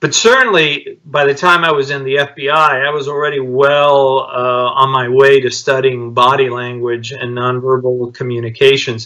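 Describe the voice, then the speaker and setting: A man talking with fairly even intonation and hardly any pauses, against noticeable background noise. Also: medium pitch for a man, moderate pace. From Cuba, raised in Miami. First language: Spanish. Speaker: author, former FBI agent. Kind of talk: interview. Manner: halting.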